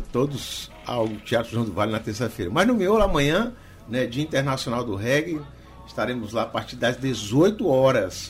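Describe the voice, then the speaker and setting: Over music in the background, a man with a medium-pitched voice talks at a moderate pace with lively intonation. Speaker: reggae DJ. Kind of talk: radio dj patter, upbeat promo of the event. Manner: warm, upbeat, chatty.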